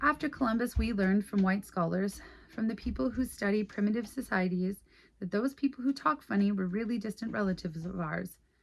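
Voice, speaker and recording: A woman's somewhat breathy, medium-pitched voice with lively intonation at a fairly quick pace. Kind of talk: reading an essay aloud.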